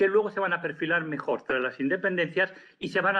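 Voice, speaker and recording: A man speaks in a Spanish accent. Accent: Peninsular Spanish. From Spain. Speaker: professor. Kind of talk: lecture. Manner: halting.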